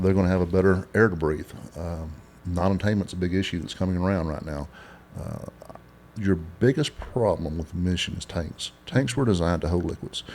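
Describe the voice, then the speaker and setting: With a West Texas accent, a man speaks at a very deep, low pitch. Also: ordinary pitch variation. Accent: West Texas drawl. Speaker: oilfield inventor and business owner. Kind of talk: interview. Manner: halting.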